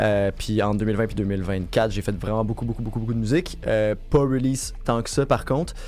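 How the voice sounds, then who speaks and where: Music plays behind a speaker with a Quebec accent who moves at a fairly quick pace with hardly any pauses and ordinary pitch variation. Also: man, fairly low pitch for a man. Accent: Québécois French. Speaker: music producer and label founder. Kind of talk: interview.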